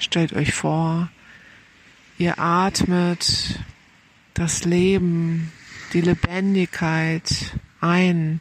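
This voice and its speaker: In a calm, soothing tone, a woman with a fairly low pitch speaks at a very slow pace, her monotone, flat intonation broken by long, frequent pauses. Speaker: meditation guide. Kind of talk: guided meditation. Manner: slow, calm, soothing, with gentle pauses; soft-spoken.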